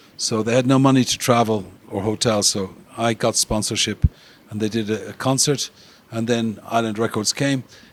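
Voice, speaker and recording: Using an Irish accent, a man speaks at a moderate pace with a medium pitch and monotone, flat intonation. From Ireland. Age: 70s. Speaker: music industry promoter. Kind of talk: interview.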